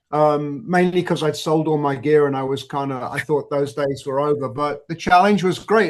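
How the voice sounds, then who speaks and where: Ordinary pitch variation marks this moderately paced speech in a Manchester accent. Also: man. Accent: northern English (Manchester area). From northern England, near Manchester. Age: 60s. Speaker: tribute band drummer. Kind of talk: podcast interview.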